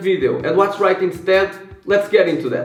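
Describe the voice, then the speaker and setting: There is noticeable background noise as a man with a non-native accent talks at a fairly quick pace. His pitch is high, with ordinary pitch variation. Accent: non-native English speaker. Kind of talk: finance commentary to camera.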